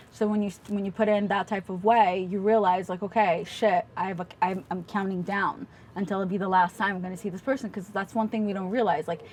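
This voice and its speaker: The speaker goes at a fairly quick pace, somewhat breathy and with hardly any pauses. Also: woman, medium pitch for a woman. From Russia. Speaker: podcaster and meme creator. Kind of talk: casual chat. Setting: home recording. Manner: fast; animated.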